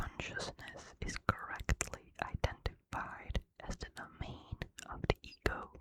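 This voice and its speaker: Whispering at a very slow pace. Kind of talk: ASMR sleep reading. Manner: whispered, soft-spoken.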